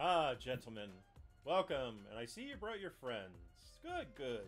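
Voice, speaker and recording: A man's booming, sinister put-on character voice at medium pitch, fairly slow pace, faint music in the background. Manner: welcoming, sinister.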